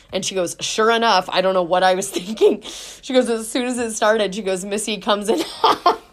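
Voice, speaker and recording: A woman speaks at a moderate pace with hardly any pauses, her pitch fairly high with ordinary variation. Noticeable background noise sits behind her. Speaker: podcast host. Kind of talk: casual chat. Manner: loud.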